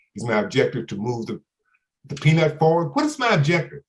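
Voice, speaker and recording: A man with a fairly high pitch, somewhat breathy, with an American accent. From Louisiana, then New York (Bronx). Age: old. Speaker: author and former corporate executive. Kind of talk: virtual book talk to an audience. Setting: video call.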